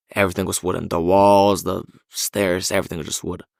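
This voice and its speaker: A man's fairly low voice in a Bulgarian accent, dry and close with no echo. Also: very clean recording, silent background. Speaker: university student. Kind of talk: podcast interview answer.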